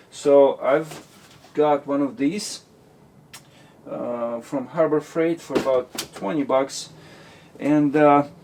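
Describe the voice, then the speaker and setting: The speech moves at a very slow pace, broken by long, frequent pauses. Noticeable background noise is present. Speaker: DIY mechanic vlogger. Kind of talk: DIY repair vlog. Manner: halting, many fillers.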